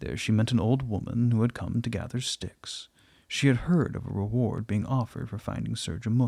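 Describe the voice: In this plain reading aloud, the intonation holds fairly even.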